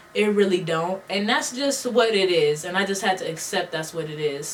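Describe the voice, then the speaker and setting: Noticeable background noise sits under a woman's medium-pitched voice. She talks at a fairly quick pace with lively intonation. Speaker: beauty and lifestyle vlogger. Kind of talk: casual advice vlog rant. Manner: casual, conversational slang.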